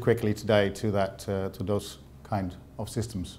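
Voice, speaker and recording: Speaking with a Dutch accent, a man takes a fairly slow pace. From Netherlands. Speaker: sales representative. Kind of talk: presentation. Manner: halting, many fillers.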